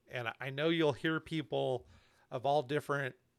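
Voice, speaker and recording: A fairly slow delivery in an ordinary speaking voice, its pitch varying in an ordinary way. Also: man. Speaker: YouTube channel host. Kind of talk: live panel discussion.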